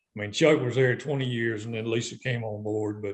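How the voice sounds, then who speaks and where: Speaking at a medium pitch, a man talks with a Southern US accent. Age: 60s. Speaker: retired tournament director. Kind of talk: casual interview.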